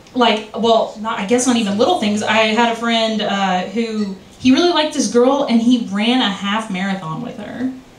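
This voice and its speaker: Audible room echo surrounds a woman's voice. She speaks at a fairly slow pace with ordinary pitch variation. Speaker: stand-up comedian. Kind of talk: open-mic stand-up set, rambling self-deprecating bits with crude punchlines. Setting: stage with audience at a bar open mic. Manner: scattered and giggly, loses her train of thought; halting, filler-heavy delivery full of ums and self-corrections. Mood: self-deprecating, playful. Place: bar.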